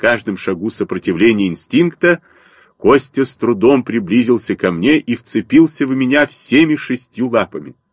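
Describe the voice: What we hear is plain reading aloud.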